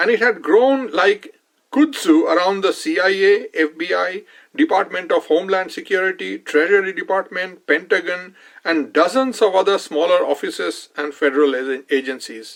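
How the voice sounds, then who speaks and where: A man speaks with an Indian accent at a high pitch. His intonation is lively and his pace moderate. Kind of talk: nonfiction book reading.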